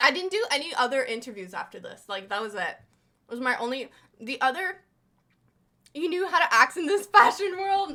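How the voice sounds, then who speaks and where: A woman speaks in a raised, projected voice with an animated, bright and sharp tone and lively intonation. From Quebec, Montreal. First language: French. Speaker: streamer. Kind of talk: casual reaction stream. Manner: loud.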